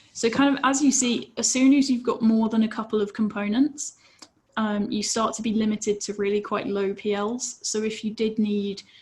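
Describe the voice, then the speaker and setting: A woman speaking with fairly even intonation over noticeable background noise. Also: fairly high pitch for a woman, moderate pace. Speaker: safety engineer presenter. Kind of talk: webinar presentation.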